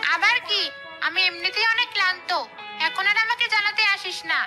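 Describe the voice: In a cartoonish character voice, a woman speaks at an extremely high pitch and a fairly quick pace in a bright, sharp tone, with faint music in the background. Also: ordinary pitch variation.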